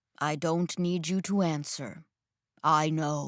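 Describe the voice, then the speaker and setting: A woman puts on a character voice with a very deep, low pitch. She speaks fairly slowly. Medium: read story. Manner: calm, commanding.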